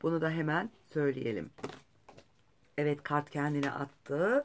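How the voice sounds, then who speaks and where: A woman speaking at a very slow pace. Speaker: astrologer and tarot reader. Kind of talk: horoscope reading with tarot cards. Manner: hesitant, many fillers.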